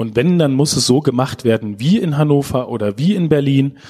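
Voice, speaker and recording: Over noticeable background noise, a man speaks at a fairly quick pace and medium pitch, with ordinary pitch variation. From Lower Saxony, Germany (Schaumburg district). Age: young. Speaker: digital agency director. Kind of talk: interview.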